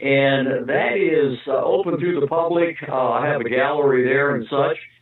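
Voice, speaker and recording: Noticeable background noise sits under a voice moving at a moderate pace with fairly even intonation. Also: man, fairly high pitch for a man. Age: 70s. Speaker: sculptor. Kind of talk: interview. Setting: phone call. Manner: halting.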